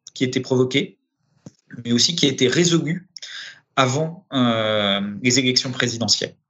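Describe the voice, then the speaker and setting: The speaker is a man. His voice rises and falls in an ordinary way. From Paris, France. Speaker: director of a public development agency. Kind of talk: interview. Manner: halting, many repetitions and hesitations.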